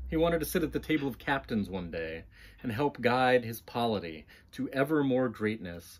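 A man talks at a moderate pace, his pitch swinging very widely. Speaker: author. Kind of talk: audiobook-style fiction reading. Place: home room.

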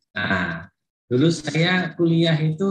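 Light background noise, audible room echo and ordinary pitch variation. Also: man. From Indonesia. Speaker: professor and vice dean. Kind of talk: opening speech. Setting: video call. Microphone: video call.

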